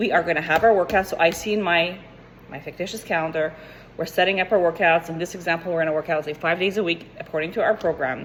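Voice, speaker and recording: A woman talks very fast at a fairly low pitch. Noticeable background noise runs under her voice. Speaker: fitness coach. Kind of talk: tutorial. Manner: animated.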